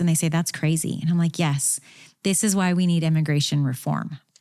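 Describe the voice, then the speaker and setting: In a Midwestern US accent, a woman speaks with a dark, mellow tone at a fairly low pitch. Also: very clean recording, silent background. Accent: US Midwest. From Kansas, US Midwest. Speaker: immigration lawyer. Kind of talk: interview. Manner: animated.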